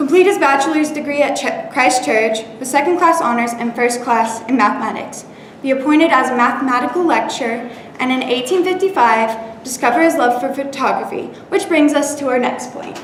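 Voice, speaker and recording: Over noticeable background noise, a woman speaks in a high pitch. Her pace is fairly quick, with ordinary pitch variation. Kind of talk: informative presentation speech. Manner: stumbles and stutters at times.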